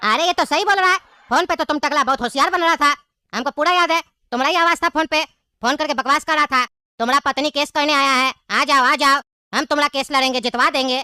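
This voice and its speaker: A woman does a put-on character voice, high-pitched with ordinary pitch variation. She speaks very fast in a very clean recording with a silent background. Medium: comedy sketch. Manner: blustering, threatening.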